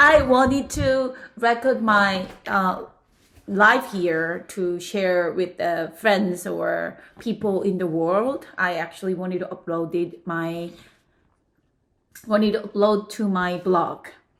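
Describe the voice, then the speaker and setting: Speaking very slowly with a Korean accent, a woman keeps a medium pitch and ordinary pitch variation. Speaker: podcast guest. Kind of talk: casual chat. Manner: halting.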